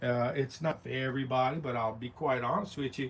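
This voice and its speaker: A man at a moderate pace, medium in pitch, with a Southern US accent. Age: 60s. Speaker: realtor and sales vlogger. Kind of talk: casual livestream vlog. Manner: chatty, informal.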